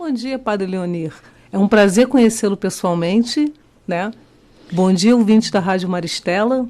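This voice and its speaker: The speaker has a Rio de Janeiro accent. The pace is moderate, with ordinary pitch variation. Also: woman. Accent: Rio de Janeiro (carioca) accent, kept. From Rio de Janeiro, Brazil. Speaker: teacher and candidate for child protection council. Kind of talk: radio interview. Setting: radio studio. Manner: halting.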